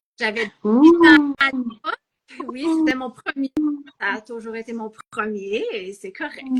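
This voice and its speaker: This woman has a high voice and speaks at a very slow pace with a Quebec accent. Her pitch varies in an ordinary way. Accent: Québécois French. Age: 50s. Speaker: novelist, former math teacher. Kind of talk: interview. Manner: hesitant, with false starts.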